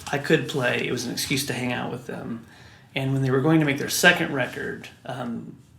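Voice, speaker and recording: Audible room echo surrounds a man with an American accent. He speaks at a moderate pace with ordinary pitch variation. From US Midwest (Wichita, Kansas). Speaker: record producer and musician. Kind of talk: interview.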